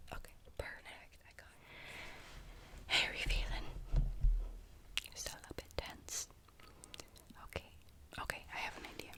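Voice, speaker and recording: Someone whispers at a fairly slow pace with long, frequent pauses, noticeable background noise behind them. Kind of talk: ASMR personal attention roleplay. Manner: whispered, soft-spoken.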